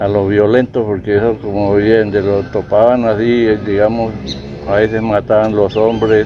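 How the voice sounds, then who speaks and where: With noticeable background noise behind him, a man speaks at a fairly low pitch and a fairly slow pace, his intonation monotone and flat and his loudness very even. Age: 70s. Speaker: rural farmer. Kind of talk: interview answer.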